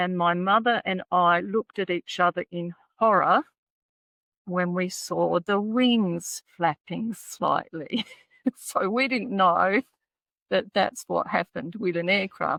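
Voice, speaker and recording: In an Australian accent, a woman speaks at a very slow pace with a bright, sharp tone and a medium pitch. Her pitch varies in an ordinary way, and the sound is dry and close with no echo. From Australia, Adelaide. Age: 70s. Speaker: private pilot and author. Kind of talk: interview storytelling.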